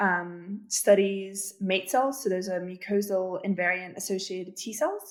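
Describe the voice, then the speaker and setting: With a British accent, a woman speaks at medium pitch and a fairly slow pace on a very clean recording with a silent background. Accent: somewhat British. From Russia. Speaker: PhD student in immunology. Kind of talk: interview. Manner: hesitant, many fillers.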